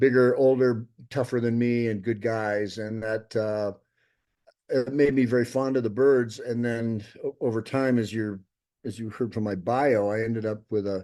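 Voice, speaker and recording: The voice has a dark, mellow tone and an American accent. It moves at a moderate pace with monotone, flat intonation. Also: man, medium pitch for a man. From US Pacific Northwest, Seattle. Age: 70s. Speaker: documentary filmmaker. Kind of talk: interview. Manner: halting, many restarts.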